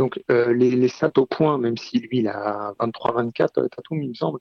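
Very slow speech from a man at medium pitch with ordinary pitch variation. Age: 30s. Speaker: basketball fan, sports Twitter user. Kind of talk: casual chat.

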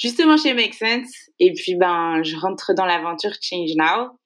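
A woman speaks at a fairly slow pace with a medium pitch. Her intonation is lively. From western France, Maine-et-Loire. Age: 20s. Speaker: founder of a sustainability impact initiative. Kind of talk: interview. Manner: hesitant, many fillers.

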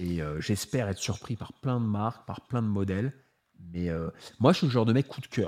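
The speech has a moderate pace and ordinary pitch variation. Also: man, fairly low pitch for a man. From France, Paris. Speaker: watch YouTuber. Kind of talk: casual chat. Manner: unfiltered, uninhibited tone.

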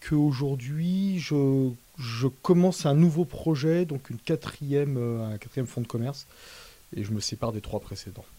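The speaker is a man with a fairly high pitch. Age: 40s. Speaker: wine shop owner. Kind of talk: interview. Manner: halting.

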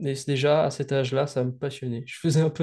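A man speaks in a fairly high pitch with a somewhat breathy, dark, mellow tone and fairly even intonation against a quiet background. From Réunion. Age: young. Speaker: student and video game developer. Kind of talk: interview.

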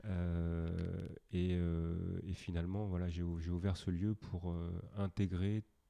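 Against a quiet background, a man speaks in a very deep, low voice with a dark, mellow tone and flat, monotone intonation, the sound dry and close with no echo. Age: 40s. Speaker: former triathlete and wellness workshop leader. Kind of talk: casual interview. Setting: workshop studio. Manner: hesitant, many fillers.

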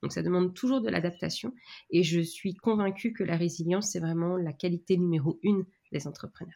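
A woman talks at a fairly quick pace in a dark, mellow tone, her fairly low pitch showing ordinary variation. The recording is very clean, with a silent background. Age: 30s. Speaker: business mentor and training company founder. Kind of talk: interview. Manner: hesitant, many fillers.

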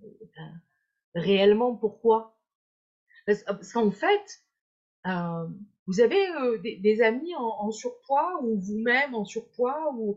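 A woman's fairly high voice at a very slow pace, with lively intonation, big swings in loudness and long, frequent pauses. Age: 50s. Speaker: hypnotherapist and weight-loss coach. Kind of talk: live-stream interview. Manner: hesitant, repeating words.

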